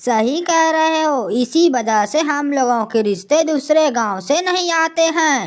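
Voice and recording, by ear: In a cartoonish character voice, a woman speaks at a high pitch and fairly slow pace, with lively intonation and very even loudness.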